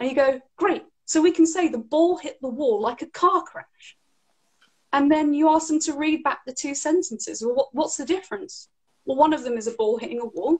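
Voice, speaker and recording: This woman has an English accent and a high pitch. She talks at a moderate pace. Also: ordinary pitch variation, big swings in loudness. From England. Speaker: English teacher. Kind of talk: interview answer.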